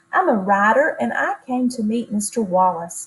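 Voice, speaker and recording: Using a put-on character voice, a woman speaks softly at a moderate pace, shaky and fairly high-pitched, with lively intonation. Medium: read story. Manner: soft, trembly, shy.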